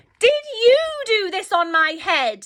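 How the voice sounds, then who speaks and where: A woman performs a squeaky, put-on character voice at an extremely high pitch. Her pitch swings very widely. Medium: read story. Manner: indignant.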